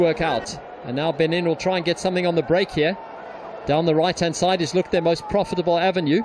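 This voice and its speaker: Over noticeable background noise, a man with a high pitch speaks at a very fast pace in an animated, excited tone. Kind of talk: live football commentary. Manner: animated, fast, excited; fluent play-by-play, polished.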